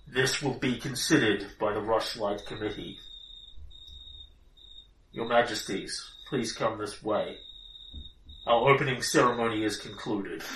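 A man puts on a booming, loud character voice at a medium pitch. He moves at a moderate pace with long, frequent pauses. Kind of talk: formal, commanding. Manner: authoritative.

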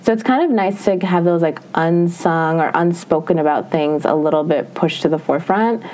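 A woman with an American accent talks at a fairly quick pace with hardly any pauses, her fairly low pitch moving with ordinary variation and her loudness very even, over noticeable background noise. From Minnesota. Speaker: beauty editor. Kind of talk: interview podcast.

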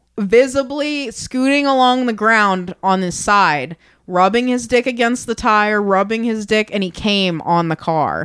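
In a very clean recording with a silent background, a woman with a normal speaking voice and fairly high pitch talks at a fairly slow pace, with lively intonation and hardly any pauses. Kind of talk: casual chat. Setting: bar back room, recording.

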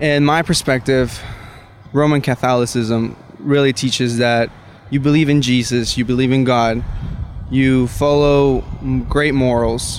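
A man's medium-pitched voice, monotone and flat, at a fairly slow pace, with noticeable background noise. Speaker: college student. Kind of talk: casual debate. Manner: halting.

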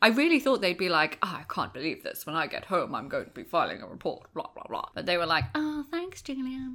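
Speaking at a fairly quick clip, a woman uses a raised, projected voice that is high-pitched and bright and sharp, swinging very widely in pitch. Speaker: podcast co-host, newcomer to the franchise. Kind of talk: casual chat.

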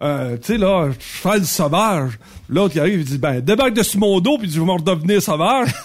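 Speaking at a moderate pace in a Quebec accent, a man uses a high pitch with very wide swings. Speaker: radio columnist. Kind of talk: casual chat.

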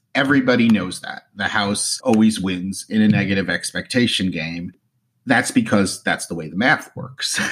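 With an American accent, a man with a plain, everyday voice speaks at a moderate pace, fairly low in pitch with ordinary variation. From New Jersey. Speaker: luxury travel and casino loyalty blogger, podcaster. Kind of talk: casual interview chat.

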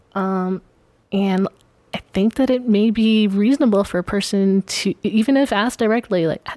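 At medium pitch and moderate pace, a woman speaks in a dark, mellow tone with ordinary pitch variation, in a dry, close sound with no echo. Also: very clean recording, silent background. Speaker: podcast guest. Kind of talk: casual conversational discussion.

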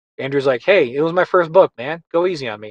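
In a dry, close sound with no echo, a man speaks at a fairly quick pace with a Western New York accent. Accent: Western New York American. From Buffalo, New York. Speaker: animation director and producer. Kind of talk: interview conversation. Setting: studio.

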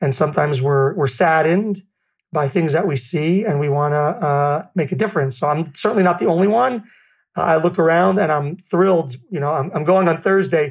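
A man with a New York accent at a fairly quick pace, over a quiet background. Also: fairly high pitch for a man, ordinary pitch variation. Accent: New York American. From New York City. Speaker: food bank founder. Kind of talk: casual interview chat. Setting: video call. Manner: down to earth, humorous.

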